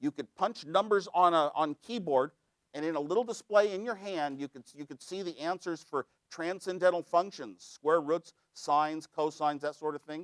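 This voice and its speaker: A man with an American accent talks at a moderate pace in a high voice, with ordinary pitch variation and big swings in loudness. The sound is dry and close, with no echo. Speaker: computer engineer, inventor. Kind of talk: keynote speech.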